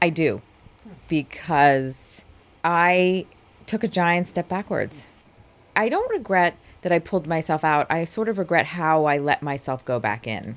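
A woman's fairly low voice at a fairly slow pace, with lively intonation and long, frequent pauses. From New Jersey, US. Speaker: manager at an internet company. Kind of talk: interview.

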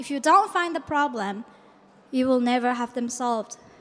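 A woman with a Japanese accent speaks in a high pitch with ordinary pitch variation. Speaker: writer and film festival organizer. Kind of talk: presentation. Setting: stage with audience.

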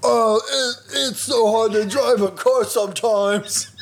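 This put-on character voice sounds whiny, with a whiny tone throughout. It moves at a fairly slow pace. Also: man, high pitch for a man. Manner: mocking, whiny.

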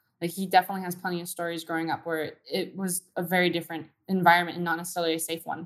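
A woman's fairly low voice at a very fast pace, monotone and flat, with hardly any pauses. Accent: American. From Southern California (Downey, LA County). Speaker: community activist. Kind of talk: interview.

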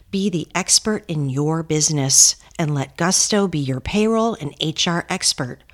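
Her pitch is very deep and low for a woman. She talks at a moderate pace. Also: ordinary pitch variation. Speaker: co-host and interviewer. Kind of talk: casual interview chat.

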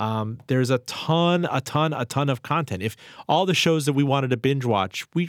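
A man speaks at a moderate pace in a plain, everyday voice with lively intonation, on a very clean recording with a silent background. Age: 30s. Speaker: radio host. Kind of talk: interview. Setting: studio.

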